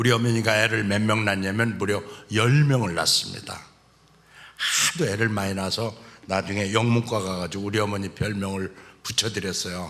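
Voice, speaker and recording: A man talks with a bright, sharp tone, a fairly low pitch and fairly even intonation. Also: moderate pace. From South Chungcheong, Korea (Cheongyang). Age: 60s. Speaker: church elder giving testimony. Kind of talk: testimony.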